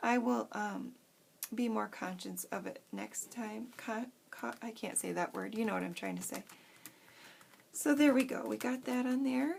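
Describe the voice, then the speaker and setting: The speaker mumbles at a fairly slow pace. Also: woman. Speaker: craft youtuber. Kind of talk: tutorial. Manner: frantic; mumbling.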